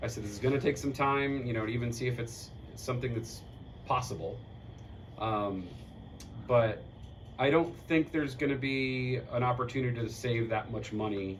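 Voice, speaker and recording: There is audible room echo as a man speaks at a moderate pace and medium pitch. His intonation is fairly even, with long, frequent pauses. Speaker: community board member presenting at meeting. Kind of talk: community meeting discussion. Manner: loud.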